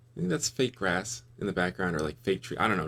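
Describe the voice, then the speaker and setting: A man with a very deep, low voice and vocal fry talks at a very fast pace, his pitch swinging very widely. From US West Coast, Los Angeles. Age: 30s. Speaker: YouTube finance commentator. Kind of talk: casual reaction commentary.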